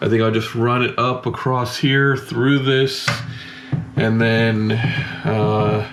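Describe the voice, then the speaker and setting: A man speaks at medium pitch with monotone, flat intonation. Noticeable background noise runs underneath. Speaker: DIY box truck camper builder. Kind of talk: casual talk to camera.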